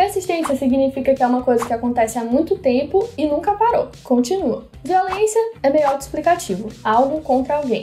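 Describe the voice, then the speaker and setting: Over music in the background, a woman talks at a moderate pace with hardly any pauses, very wide pitch swings and very even loudness. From São Luís, Maranhão, Brazil. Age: 20s. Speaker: medical student and content creator. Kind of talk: casual educational talk to camera.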